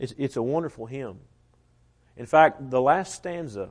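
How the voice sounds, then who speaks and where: Against a quiet background, a man with a Southern US accent speaks at a medium pitch with ordinary pitch variation. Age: 20s. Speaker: preacher. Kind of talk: sermon. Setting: church.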